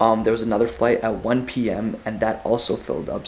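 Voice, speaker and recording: There is noticeable background noise. A man speaks at a medium pitch. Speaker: travel vlogger. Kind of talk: vlog to camera. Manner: casual, filler-heavy.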